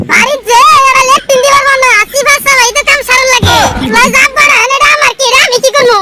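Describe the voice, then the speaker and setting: A woman performs a put-on character voice at an extremely high pitch. She delivers it at a fairly quick pace with monotone, flat intonation. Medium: voice reel. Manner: blunt, scolding.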